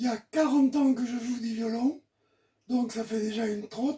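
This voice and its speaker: Very slow and monotone, with flat intonation, a man talks at an extremely high pitch in a dark, mellow tone. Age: 80s+. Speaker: folk violinist. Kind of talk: informal presentation. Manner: halting.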